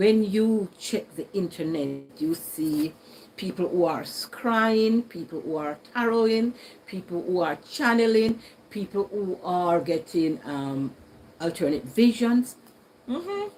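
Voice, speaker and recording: Very slowly and with lively intonation, a woman speaks in a Jamaican accent at medium pitch. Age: 60s. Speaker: YouTuber. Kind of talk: casual chat. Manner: conversational.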